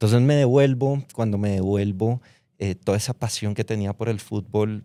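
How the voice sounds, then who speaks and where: A man with a Bogotá accent at a moderate pace, dark and mellow in tone, with a dry, close sound and no echo. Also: very clean recording, silent background. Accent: Bogotá Colombian Spanish. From Colombia, Bogotá. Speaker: fintech founder, former footballer. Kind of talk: interview. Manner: casual, conversational.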